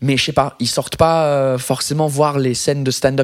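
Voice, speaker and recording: A man with an English accent, fairly high in pitch, at a moderate pace. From England. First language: English (speaking French). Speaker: comedian. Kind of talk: casual chat. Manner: halting.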